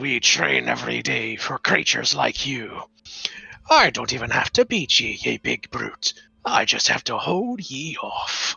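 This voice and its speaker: At a moderate pace, a man uses a put-on character voice that is gruff and raspy. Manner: defiant.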